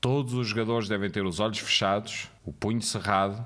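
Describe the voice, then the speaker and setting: His pitch is fairly low for a man and varies in an ordinary way. He keeps up a fairly quick pace. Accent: European Portuguese. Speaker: game moderator narrator. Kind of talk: guided narration, scripted game moderator instructions read aloud.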